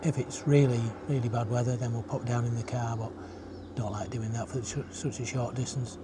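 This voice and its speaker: A man with a dark, mellow tone and a somewhat breathy voice talks at a moderate pace. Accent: northern English. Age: 70s. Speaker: retirement vlogger. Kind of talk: casual vlog monologue. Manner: halting, many fillers.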